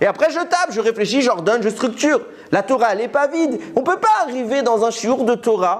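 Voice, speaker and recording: An animated tone at a fairly quick pace, with noticeable background noise. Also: man. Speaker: Torah teacher. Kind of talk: religious lecture. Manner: fast.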